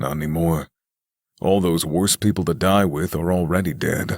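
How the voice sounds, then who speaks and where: Putting on a character voice, a man speaks at a moderate pace in a very deep, low pitch. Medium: audio drama. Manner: gruff, dry.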